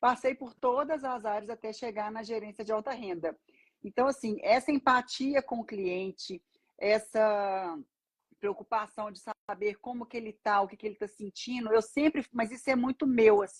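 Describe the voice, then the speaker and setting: A somewhat breathy woman's voice, fairly high in pitch, with ordinary pitch variation, big swings in loudness, and a dry, close sound with no echo. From Brazil, Minas Gerais (Belo Horizonte). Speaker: banker and financial mentor. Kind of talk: casual live-stream interview.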